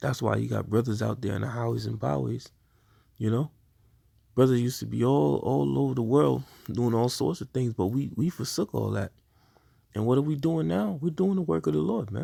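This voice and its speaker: Speaking at a fairly quick pace, a man uses a medium pitch and a dark, mellow tone with very wide pitch swings. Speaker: religious teacher. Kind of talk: sermon. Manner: stuttering.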